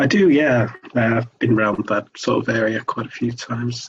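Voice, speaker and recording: A man with a Manchester accent, somewhat breathy, at a moderate pace. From Sale, South Greater Manchester, England. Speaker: hiker with epilepsy. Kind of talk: interview. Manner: halting.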